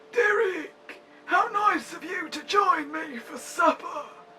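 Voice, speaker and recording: The speaker puts on a character voice at an extremely high pitch. The pace is fairly slow. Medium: audio drama. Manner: theatrical, faintly menacing, prone to sinister laughter.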